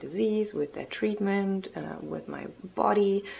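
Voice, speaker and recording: A woman talks over noticeable background noise. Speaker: vlogger with multiple sclerosis. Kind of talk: casual vlog. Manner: hesitant with many ums.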